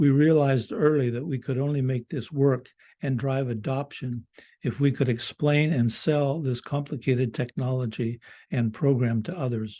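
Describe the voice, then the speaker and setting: A man's dark, mellow voice at medium pitch, moderate pace and ordinary pitch variation, over a quiet background. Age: 80s+. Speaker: school project leader presenting a close-out report. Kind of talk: prepared presentation read from a script. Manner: formal; occasional halting restarts.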